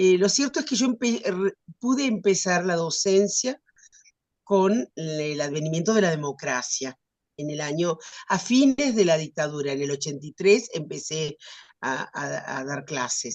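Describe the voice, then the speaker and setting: A woman speaks fairly slowly in a fairly low pitch, her pitch swinging very widely. The sound is dry and close with no echo. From Argentina. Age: 70s. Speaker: writer and retired teacher. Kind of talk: interview. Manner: halting, many fillers.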